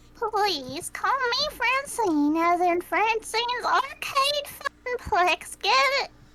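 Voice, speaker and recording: In a put-on character voice, a woman speaks squeaky and extremely high, her pitch swinging very widely while her loudness stays very even at a fairly slow pace. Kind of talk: amateur improvised voice acting. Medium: game stream. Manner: warm, good-humored.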